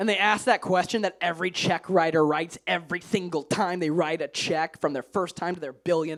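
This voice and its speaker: This man's voice sits high and sounds animated. He talks fairly quickly with hardly any pauses. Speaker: stand-up comedian. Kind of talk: stand-up. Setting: stage with audience.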